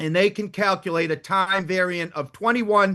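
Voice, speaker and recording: A man with a strong Boston accent, high pitch and a bright, sharp tone at a moderate pace, over a quiet background. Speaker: defense attorney. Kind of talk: heated debate. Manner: formal.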